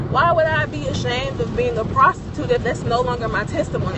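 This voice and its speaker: Someone with a Southern US accent talks at a moderate pace, with audible room echo and noticeable background noise. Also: woman. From US South. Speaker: vlogger. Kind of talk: casual monologue. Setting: in a car. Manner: hesitant, many fillers.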